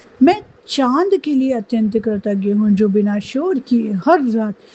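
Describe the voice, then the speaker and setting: A woman's fairly high voice with lively intonation, over noticeable background noise. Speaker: meditation guide. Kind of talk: guided gratitude meditation.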